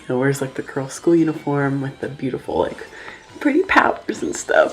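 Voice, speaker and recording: A woman talks with an American accent. Her pitch is very deep and low. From Oklahoma, US. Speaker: YouTuber. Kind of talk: casual vlog monologue.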